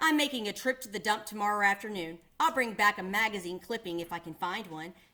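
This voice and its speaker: A woman uses a put-on character voice that sounds gruff, at medium pitch. She races along at a very fast pace. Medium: read story. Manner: gruff, surly.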